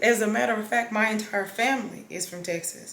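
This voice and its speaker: Against noticeable background noise, a woman with an American accent talks at a fairly high pitch with ordinary pitch variation. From Los Angeles, South Central. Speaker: vlogger. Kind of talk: casual vlog chat.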